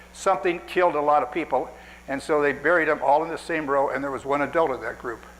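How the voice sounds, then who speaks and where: A man's fairly high voice at a very fast pace, with audible room echo. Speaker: cemetery restorer giving a lecture. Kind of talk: lecture. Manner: fast when excited.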